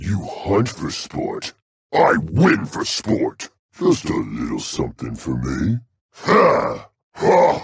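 A put-on character voice at a very slow pace. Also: man. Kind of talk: video game character battle lines. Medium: video game. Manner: aggressive, boisterous.

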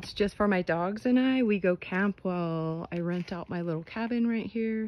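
At a moderate pace, a woman speaks with ordinary pitch variation in a dry sound with no echo. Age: 60s. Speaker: trailer owner, DIY builder. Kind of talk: casual DIY how-to talk to camera. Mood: proud, friendly. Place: open country. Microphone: phone near.

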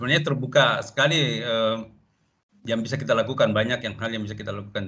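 The man's voice has a bright, sharp tone. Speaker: teacher participant. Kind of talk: discussion comments. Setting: video call. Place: home room. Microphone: video call.

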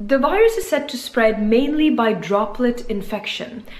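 Audible room echo around a woman talking at a moderate pace. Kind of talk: health explainer talk. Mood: calm, informative. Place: home room. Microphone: phone near.

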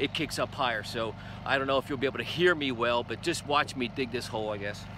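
A man talks at a fairly quick pace, the sound dry with no echo but with noticeable background noise. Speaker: homeowner reviewing a tool. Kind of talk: casual demo vlog. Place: garden. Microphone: phone near.

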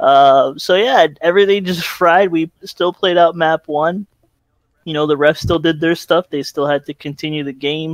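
A man with a fairly high pitch is heard. He has an ordinary speaking voice. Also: fairly even intonation, moderate pace, dry, close sound with no echo. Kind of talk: casual chat. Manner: laughs often.

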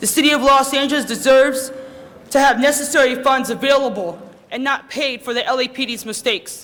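A man speaks in a raised, projected voice at an extremely high pitch, his intonation fairly even. Noticeable background noise sits behind him. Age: 20s. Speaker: public commenter. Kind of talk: public testimony. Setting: council chamber. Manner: halting.

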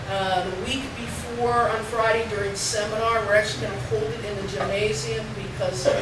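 Loud background noise fills the clip, and the room echo is audible. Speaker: university faculty, seminar organizer. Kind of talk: class announcements. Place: classroom. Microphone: camera far.

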